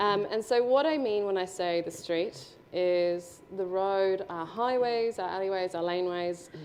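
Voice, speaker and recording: Her pace is fairly slow. This woman has an Australian accent. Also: medium pitch for a woman, ordinary pitch variation. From Brisbane, Australia. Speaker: urban designer speaker. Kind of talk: presentation with slides.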